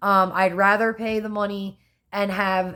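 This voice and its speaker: A woman with a Philadelphia accent, medium pitch, and fairly even intonation, on a very clean recording with a silent background. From US Northeast, Philadelphia. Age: 30s. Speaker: vlogger. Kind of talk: casual vlog talk.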